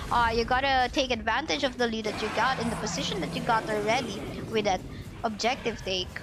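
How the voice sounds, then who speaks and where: A woman with a fairly high voice speaks fairly quickly as music plays in the background. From Philippines. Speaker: esports shoutcaster. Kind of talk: live commentary. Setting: livestream. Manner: animated.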